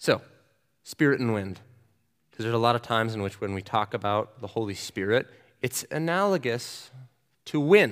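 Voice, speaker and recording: Recorded very cleanly against a silent background, a man with an American accent and a medium-pitched voice speaks at a moderate pace with lively intonation and long, frequent pauses. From US Southwest (New Mexico). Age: 20s. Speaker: student ministry director and seminary student. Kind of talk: sermon.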